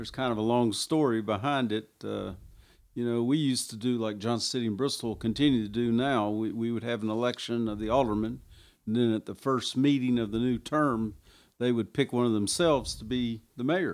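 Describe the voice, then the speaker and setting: A man at medium pitch with fairly even intonation. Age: 60s. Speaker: small-town mayor. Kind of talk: casual interview.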